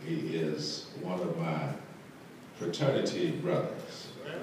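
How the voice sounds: Strong room echo surrounds a man speaking slowly at a low pitch. His tone is slightly mellow and his intonation lively.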